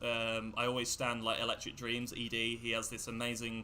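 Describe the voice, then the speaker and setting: The voice belongs to a man and sits at a medium pitch. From England. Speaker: electronic music producer. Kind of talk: casual interview on livestream.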